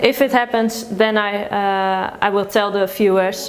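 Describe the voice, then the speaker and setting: With a Dutch accent, a woman speaks at a fairly slow pace in a fairly high voice over noticeable background noise. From Netherlands. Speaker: food vlogger. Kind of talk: interview. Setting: office. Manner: halting.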